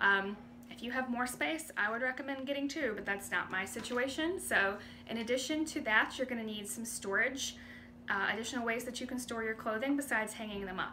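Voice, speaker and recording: A woman's fairly high voice in a North Carolina accent, with ordinary pitch variation and audible room echo. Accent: Southern US (North Carolina). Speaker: independent clothing sales rep. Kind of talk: casual vlog talk to camera. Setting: home bedroom. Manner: conversational, many fillers.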